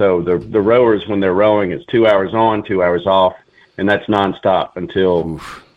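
Here is a man with a Southern US accent and a very deep, low pitch. He talks at a moderate pace with ordinary pitch variation. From Alabama, Mobile. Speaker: army veteran, nonprofit co-founder. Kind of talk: radio interview. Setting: phone call.

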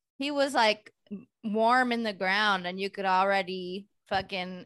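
A woman speaks in a Californian accent, her pitch medium and her tone bright and sharp. The background is quiet. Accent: Californian American. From San Francisco Bay Area. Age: 40s. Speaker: stand-up comedian. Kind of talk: casual chat.

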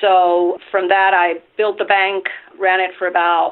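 A woman with a Spanish accent at a medium pitch and a moderate pace. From Venezuela. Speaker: nonprofit lender CEO. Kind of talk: interview.

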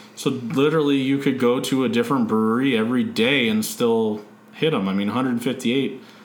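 In a Californian accent, a man talks at a moderate pace in a medium pitch, with ordinary pitch variation and very even loudness. Audible room echo and noticeable background noise fill the recording. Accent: Californian American. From San Diego, California. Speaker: podcast host. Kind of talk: casual chat.

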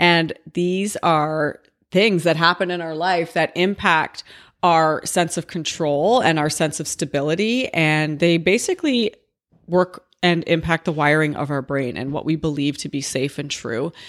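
Recorded very cleanly with a silent background, a woman talks at a fairly slow pace in a fairly low pitch with ordinary pitch variation. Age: 40s. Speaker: podcast host. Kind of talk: unscripted solo monologue. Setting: home office. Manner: casual, rambling.

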